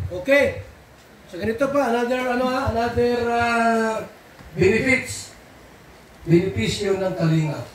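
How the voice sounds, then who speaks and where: Long, frequent pauses break up the fairly slow speech, with ordinary pitch variation, audible room echo, and noticeable background noise. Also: man, extremely high pitch for a man. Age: 60s. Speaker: charity vlog program leader. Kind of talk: group briefing.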